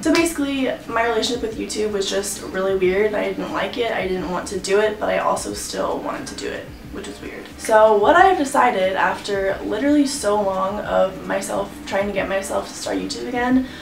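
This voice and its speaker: Speaking fairly quickly with hardly any pauses, a woman with an American accent shows big swings in loudness, with audible room echo and noticeable background noise around her. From Texas, San Antonio. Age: 20s. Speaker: lifestyle vlogger. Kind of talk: casual Q&A update vlog. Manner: mumbling; rambling, filler-heavy.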